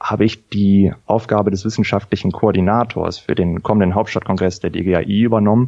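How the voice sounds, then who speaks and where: Here a man talks at a moderate pace with a fairly low pitch. His tone is dark and mellow. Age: 30s. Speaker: anaesthetist, congress organiser. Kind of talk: interview.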